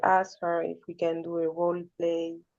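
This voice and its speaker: Fairly low-pitched woman with a non-native accent at a fairly slow pace, over a quiet background. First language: not English. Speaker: caller on a support call. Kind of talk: personal sharing. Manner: halting.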